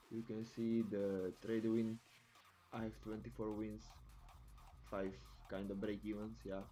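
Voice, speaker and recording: With a non-native accent, a man talks at a moderate pace in a fairly low pitch and a dark, mellow tone. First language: not English. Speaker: futures trader. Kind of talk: screen-share tutorial. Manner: halting, with many fillers.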